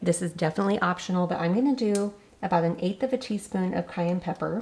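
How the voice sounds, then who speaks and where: A woman talks at a very fast pace and a medium pitch. She sounds somewhat breathy, with ordinary pitch variation. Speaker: cooking channel host. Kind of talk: cooking tutorial. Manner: casual.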